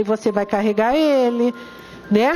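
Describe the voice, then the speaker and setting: Pitch moves in an ordinary way over noticeable background noise. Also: woman. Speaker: spiritist lecturer. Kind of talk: lecture. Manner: animated.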